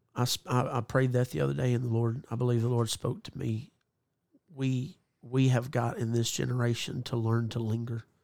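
At a moderate pace, a man of medium pitch uses an ordinary speaking voice with ordinary pitch variation. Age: 30s. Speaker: evangelist. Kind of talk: casual chat.

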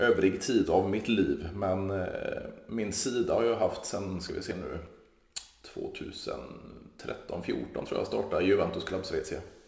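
A man's voice at a fairly slow pace, with audible room echo. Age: 30s. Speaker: podcast host. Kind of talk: casual chat.

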